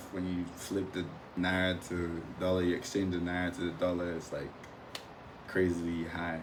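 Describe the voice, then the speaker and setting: A man with a very deep, low pitch and an American accent, moderate pace, monotone and flat intonation, audible room echo and noticeable background noise. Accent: Nigerian accent, adapting to American. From Nigeria, Imo State. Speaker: former international student. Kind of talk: podcast interview.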